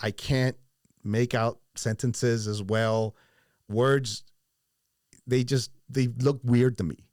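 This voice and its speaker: Captured as a very clean recording with a silent background, a man speaks in a dark, mellow tone at a medium pitch. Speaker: podcast host. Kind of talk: casual podcast talk.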